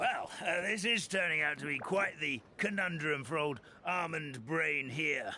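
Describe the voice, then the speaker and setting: A man puts on a raspy, fairly high character voice at a moderate pace, with clear background noise behind him. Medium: video game. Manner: hesitant, folksy, chuckling.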